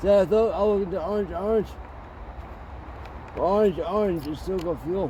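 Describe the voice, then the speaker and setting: Mumbling in a dark, mellow tone, the voice moves with ordinary pitch variation. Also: man. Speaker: chainsaw video maker. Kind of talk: casual tutorial. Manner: halting.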